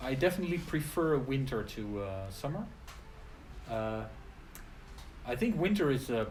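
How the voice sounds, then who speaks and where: Somewhat breathy and at a moderate pace, a man speaks in a medium pitch with very wide pitch swings, long, frequent pauses and audible room echo. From Netherlands. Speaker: English teacher. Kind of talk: casual chat. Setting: live stream video.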